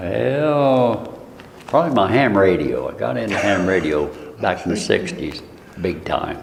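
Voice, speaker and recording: The speaker has an American accent and a fairly slow pace. Audible room echo and noticeable background noise are present. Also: man. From US Midwest, Marshall, Illinois. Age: 70s. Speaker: local resident interviewee. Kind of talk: oral history interview.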